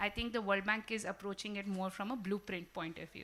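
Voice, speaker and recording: A woman speaks at a medium pitch. Her intonation is monotone and flat. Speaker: panelist from a development bank. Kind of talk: panel discussion. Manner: loud.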